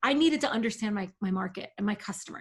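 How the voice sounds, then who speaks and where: The speaker is a woman whose voice carries a slight breathiness. Her pitch sits on the higher side. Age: 40s. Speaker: email marketing agency owner. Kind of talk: podcast interview. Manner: animated.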